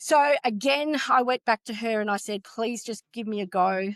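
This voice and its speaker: Against a quiet background, a woman with an Australian accent speaks at a moderate pace in a dry, close sound with no echo. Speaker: retail construction executive. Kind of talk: interview.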